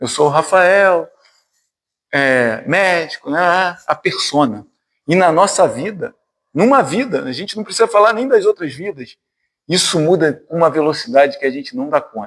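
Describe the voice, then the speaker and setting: A man speaks at a moderate pace with a high pitch and very wide pitch swings, leaving long, frequent pauses, on a very clean recording with a silent background. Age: 50s. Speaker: spiritist lecturer, physician. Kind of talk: spiritist talk to a study group. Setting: spiritist centre with audience. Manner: conversational, informal.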